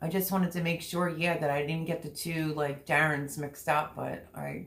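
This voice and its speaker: Vocal fry marks a woman's very deep, low pitch. She speaks at a moderate pace in a monotone, flat intonation. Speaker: livestreamer. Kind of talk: casual chat.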